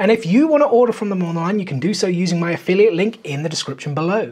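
This man talks at a very fast pace with lively intonation. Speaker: collectibles vlogger. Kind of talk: casual vlog chat. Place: home room.

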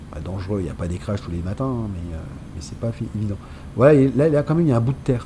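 Over noticeable background noise, a man with a fairly low pitch talks at a very fast pace with long, frequent pauses. His pitch swings very widely and his loudness swings a lot. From Nice, France. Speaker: gaming YouTuber. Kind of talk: casual gameplay commentary. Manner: enthusiastic, casual.

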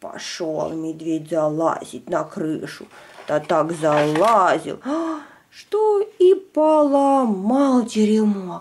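A woman speaks slowly with few pauses and lively intonation, her pitch fairly low. Her tone is slightly mellow with a slightly husky edge.

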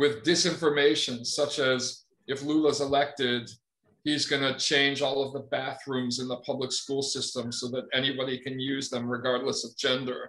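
This man's voice has a bright, sharp tone and monotone, flat intonation, moving at a moderate pace. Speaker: journalist guest. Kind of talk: interview answer. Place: home room. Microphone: studio mic.

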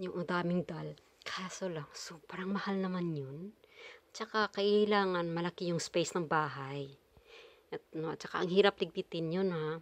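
Over a dry sound with no echo, a woman with a fairly low pitch speaks at a moderate pace with fairly even intonation. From Philippines. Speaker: vlogger. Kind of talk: casual vlog talk; casual vlog chat. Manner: halting. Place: home room. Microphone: phone near.

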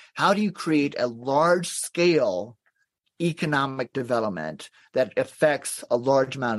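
With an American accent and an unremarkable speaking voice, a man talks at a moderate pace in a medium pitch with lively intonation. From US South, Athens, Georgia. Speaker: nonprofit executive director. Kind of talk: podcast interview.

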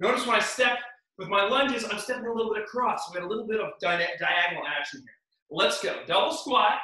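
Against a quiet background, a man speaks very fast in a raised, projected voice. His loudness swings widely, and the room echo is audible. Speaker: fitness instructor. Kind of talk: workout instruction. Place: home room. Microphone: camera far.

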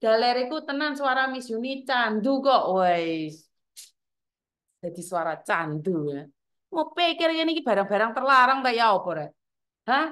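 Loud and animated in tone, a woman with a high pitch talks at a fairly slow pace with very wide pitch swings. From Java, Indonesia. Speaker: live streamer, migrant worker community host. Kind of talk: casual live stream chat. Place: home room. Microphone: phone near.

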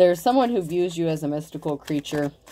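Against noticeable background noise, a woman speaks in a very deep, low voice with a dark, mellow tone. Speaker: tarot reader. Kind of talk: tarot reading commentary. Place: home room. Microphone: phone near.

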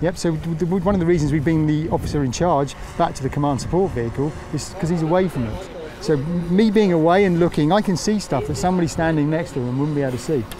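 A man with a fairly high pitch and ordinary pitch variation talks at a very fast pace. The sound is dry with no echo, and background noise is noticeable. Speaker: fire service drone pilot. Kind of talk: interview answer. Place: open country.

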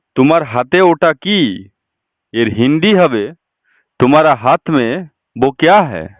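This man has a normal speaking voice. His pitch sits fairly high and his intonation is lively. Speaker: Hindi language teacher. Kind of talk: tutorial.

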